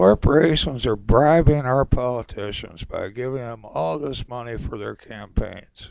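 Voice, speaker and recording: A man with an American accent talks at a fairly slow pace with hardly any pauses. His pitch is medium with ordinary variation, and his loudness swings widely. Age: 60s. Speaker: political commentator podcaster. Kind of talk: opinion monologue. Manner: animated.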